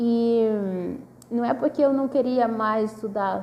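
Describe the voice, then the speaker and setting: A woman's fairly high pitch shows ordinary variation as she talks at a moderate pace. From northern Brazil, Manaus. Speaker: PhD student researcher. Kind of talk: casual video talk about research. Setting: self-recorded video at a table. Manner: hesitant, many fillers.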